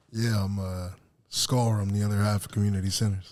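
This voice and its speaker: Monotone, flat intonation marks a man's fairly low voice as he moves at a fairly quick pace. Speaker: podcast guest, musician in a duo.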